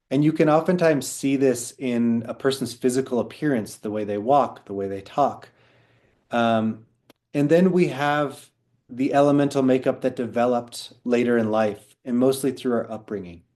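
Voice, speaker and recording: A man's dark, mellow voice at a medium pitch. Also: ordinary pitch variation, moderate pace. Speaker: Chinese medicine practitioner teaching a class. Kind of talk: online class lecture. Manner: conversational with fillers.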